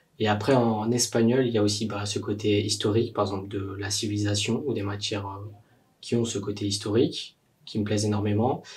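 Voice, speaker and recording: A man talks at a fairly quick pace, his pitch fairly low. His voice is somewhat breathy and his intonation monotone and flat. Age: 20s. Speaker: university student. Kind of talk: testimony. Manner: hesitant, many fillers.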